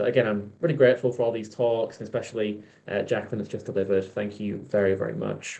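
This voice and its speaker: Speaking very fast with a Yorkshire accent, a man uses a dark, mellow tone and ordinary pitch variation. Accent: Yorkshire (Hull) English. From Hull, Yorkshire, northern England. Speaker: event host. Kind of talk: event hosting between talks.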